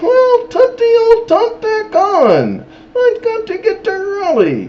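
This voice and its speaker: A squeaky put-on character voice at an extremely high pitch, delivered at a fairly slow pace. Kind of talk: comic storytelling. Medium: read story. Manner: excitable, self-important.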